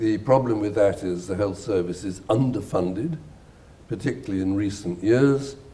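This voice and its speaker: A man's fairly low, somewhat breathy voice with a dark, mellow tone, a British accent and ordinary pitch variation. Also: moderate pace. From Britain. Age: 70s. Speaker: neurosurgeon and writer. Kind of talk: interview answer.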